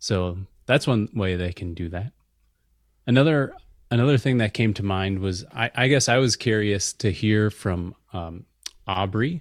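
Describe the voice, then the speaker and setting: A fairly low-voiced man with an American accent, on a very clean recording with a silent background, in a dry, close sound with no echo. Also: ordinary pitch variation. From US Midwest. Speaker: software engineer and meditation teacher. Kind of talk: casual chat.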